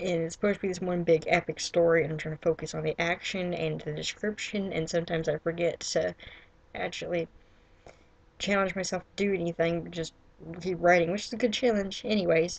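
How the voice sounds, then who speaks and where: In an ordinary speaking voice, a woman talks at a fairly quick pace. Her pitch is fairly low and her intonation fairly even. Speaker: writer and vlogger. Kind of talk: casual vlog monologue.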